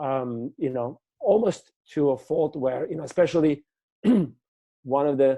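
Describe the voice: Fairly high-pitched for a man, he talks fairly slowly with a dark, mellow tone and a post-Soviet accent. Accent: foreign, from the former Soviet Union.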